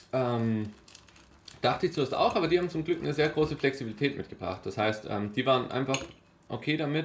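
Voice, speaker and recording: Fairly high in pitch, a man talks at a fairly quick pace with lively intonation. He leaves long, frequent pauses. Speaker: long-distance cyclist and project founder. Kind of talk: casual interview. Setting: studio over breakfast.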